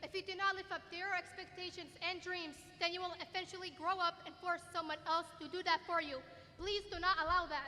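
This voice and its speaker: A woman speaks in a raised, projected voice at an extremely high pitch, with a bright, sharp tone. Her intonation is monotone and flat, and her pace is fairly quick. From Middle East (Kuwaiti/Jordanian). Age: 20s. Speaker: student speaker. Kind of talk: commencement speech. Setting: stage with audience in arena.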